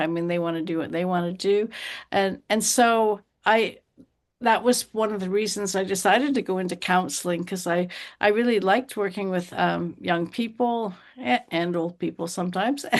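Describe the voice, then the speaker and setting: A woman speaks in a plain, everyday voice at a medium pitch and a moderate pace. The background is quiet. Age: 60s. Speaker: counselor and teacher. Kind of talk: interview.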